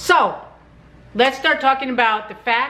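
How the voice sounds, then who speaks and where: There is noticeable background noise behind this woman. Her voice is high, with ordinary pitch variation. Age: old. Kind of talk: casual talk to camera. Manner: blunt, ranting.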